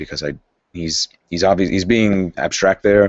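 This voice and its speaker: A man talks with fairly even intonation. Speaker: channel host reading a book aloud. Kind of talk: reading aloud with commentary. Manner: casual, halting asides.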